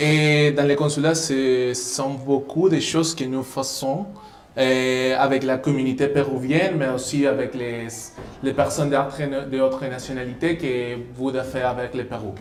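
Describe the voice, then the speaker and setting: Music plays in the background as a man with a Spanish accent speaks at a fairly slow pace. His intonation is fairly even, and the room echo is audible. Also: medium pitch for a man. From Peru. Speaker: diplomat. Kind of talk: live radio interview. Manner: halting.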